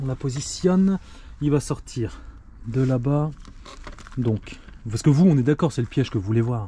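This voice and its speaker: A man speaks at a moderate pace in a northern French accent, his pitch medium with ordinary variation. He leaves long, frequent pauses. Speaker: pest control expert. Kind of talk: casual vlog with on-site demonstration. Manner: casual, lively; hesitant with fillers.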